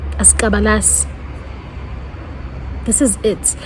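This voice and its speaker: Over noticeable background noise, a woman speaks at a fairly slow pace with a South African accent. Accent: South African (Zulu-speaking). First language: Zulu. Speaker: YouTuber. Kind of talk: testimony. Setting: outdoors.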